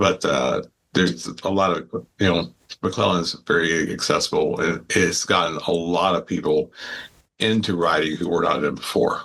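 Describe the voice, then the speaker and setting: A very deep, low-pitched man's voice with vocal fry, ordinary pitch variation and moderate pace. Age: 70s. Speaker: cycling club leader. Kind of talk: casual interview. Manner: halting, many fillers.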